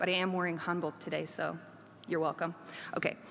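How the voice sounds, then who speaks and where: Here a woman is talking. Her speech has an American accent. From South Korea (international school, American expat family). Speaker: professor. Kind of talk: chapel talk. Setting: chapel service with live audience.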